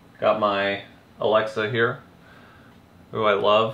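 A man's fairly slow speech, with light background noise and audible room echo. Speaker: vlogger. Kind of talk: casual vlog chat. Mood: relaxed, lightly frustrated. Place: home room. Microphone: camera far.

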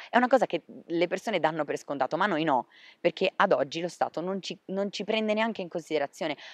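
Over a quiet background, a man talks very fast in a high voice with lively intonation and a dry sound with no echo. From Liguria, Sanremo; Liguria. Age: 20s. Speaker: interviewee. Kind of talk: interview testimony. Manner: hesitant, with fillers. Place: garden. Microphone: handheld.

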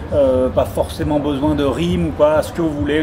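Over noticeable background noise, a man with fairly high pitch talks with lively intonation. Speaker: slam master / event presenter. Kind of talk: interview answer promoting a slam event. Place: hall. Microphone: camera far.

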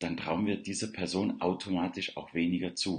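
A man speaks at a moderate pace, his pitch very deep and low. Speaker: self-confidence coach. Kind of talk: morning livestream monologue. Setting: live video stream, unfamiliar surroundings. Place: home room. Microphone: webcam.

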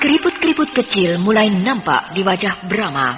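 A woman's fairly high pitch with very wide swings at a fairly slow pace, clear music in the background. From Indonesia. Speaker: radio drama narrator. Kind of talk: radio drama narration. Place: studio.

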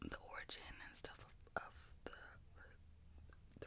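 A woman whispering in a Southern US accent. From US South. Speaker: ASMR creator. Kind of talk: ASMR eating video, casual talk to camera. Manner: casual, chatty. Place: home room. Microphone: studio mic.

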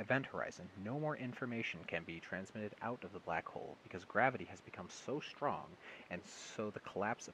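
This natural reading voice moves with lively intonation.

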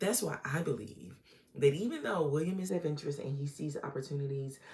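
A woman with an American accent speaks in a very deep, low pitch, somewhat breathy. Her tone is dark and mellow, with ordinary pitch variation. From Norfolk, Virginia, US; Virginia. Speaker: relationship coach / YouTuber; relationship coach, YouTuber. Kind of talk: casual monologue / educational talk. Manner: conversational, with filler words. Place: home room. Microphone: phone near.

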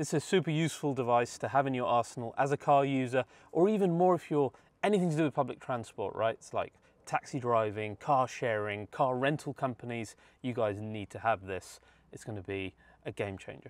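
A man talks at a fairly quick pace with big swings in loudness. The sound is dry, with no echo. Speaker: car channel host. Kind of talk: sponsor read. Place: car. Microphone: lapel.

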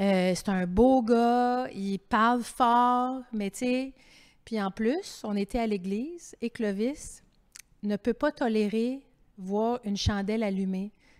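Against a quiet background, a woman speaks at a very slow pace with fairly high pitch and ordinary pitch variation. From Quebec. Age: 50s. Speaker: author and TV host; TV host. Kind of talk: public author interview. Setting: library terrace, livestreamed event. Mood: candid, animated. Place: hall. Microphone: handheld.

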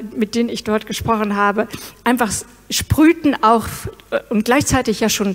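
A woman's voice at a moderate pace, with fairly even intonation. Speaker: presenter. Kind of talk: interview answer. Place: stage. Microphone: handheld.

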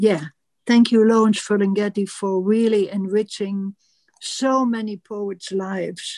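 Against a quiet background, a woman with a dark, mellow tone speaks at a fairly slow pace and with fairly even intonation. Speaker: show producer. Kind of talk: audience Q&A and poetry reading. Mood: earnest, grateful tribute. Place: home room. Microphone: video call.

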